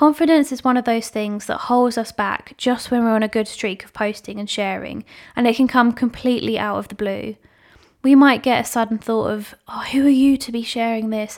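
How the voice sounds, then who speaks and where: A woman with a British accent speaks at a moderate pace and a fairly high pitch. Her intonation is fairly even, while her loudness swings widely. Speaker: podcast host and social media manager. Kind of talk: solo podcast talk.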